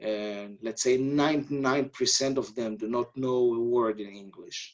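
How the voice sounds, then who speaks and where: A man with an Israeli accent speaks at a fairly slow pace. His medium-pitched voice keeps a fairly even intonation. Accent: non-native English, Israeli. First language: Hebrew. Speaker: army officer. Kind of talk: webinar interview. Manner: halting.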